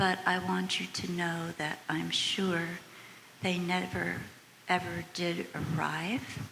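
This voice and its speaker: A woman's very slow speech in an American accent, fairly low in pitch with ordinary pitch variation, with audible room echo and noticeable background noise. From United States. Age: 80s+. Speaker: audience member. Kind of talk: audience question and testimony.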